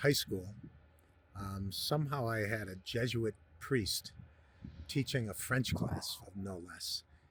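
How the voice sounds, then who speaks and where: Somewhat breathy, a man's medium-pitched voice moves at a fairly slow pace with ordinary pitch variation. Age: 60s. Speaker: podcast host. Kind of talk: interview.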